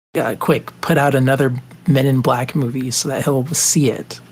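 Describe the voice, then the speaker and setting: A man's somewhat breathy, medium-pitched voice, monotone and flat in intonation, at a fairly slow pace. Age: 30s. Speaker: podcast co-host. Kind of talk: casual chat.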